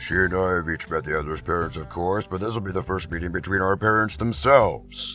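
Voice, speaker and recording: Over clear music in the background, a man uses a put-on character voice with a very deep, low pitch at a moderate pace. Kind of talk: comic dub dialogue.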